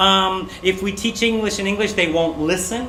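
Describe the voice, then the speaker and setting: Raised and projected, a man's high-pitched voice carries fairly even intonation. Audible room echo and noticeable background noise surround it. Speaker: English teacher trainer. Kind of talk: presentation.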